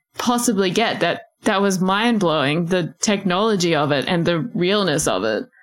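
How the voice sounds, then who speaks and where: The speaker has an Australian accent, a moderate pace and lively intonation. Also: woman. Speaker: podcast co-host. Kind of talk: casual chat.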